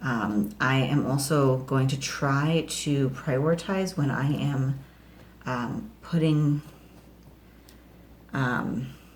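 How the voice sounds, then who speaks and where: A woman talks very slowly and quietly in a very deep, low pitch, with ordinary pitch variation. Her loudness stays very even, broken by long, frequent pauses. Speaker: home gardening vlogger. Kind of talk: casual vlog tutorial. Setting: home kitchen. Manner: hesitant, many fillers; quiet, kids asleep nearby.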